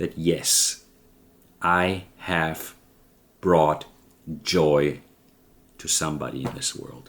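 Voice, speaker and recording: A man with a German accent speaks very slowly in a very deep, low voice, his intonation fairly even. He leaves long, frequent pauses. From Germany. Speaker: vlogger. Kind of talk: personal vlog monologue. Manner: halting.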